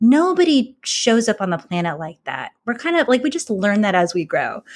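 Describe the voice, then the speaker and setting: The woman's voice shows very wide pitch swings. The recording is very clean with a silent background. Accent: American. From California. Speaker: former lawyer, mindfulness and leadership coach. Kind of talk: interview.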